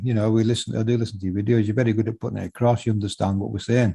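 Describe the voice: Talking at a very fast pace, a man has a dark, mellow tone with a slightly husky edge and vocal fry. His fairly low pitch shows little pitch movement.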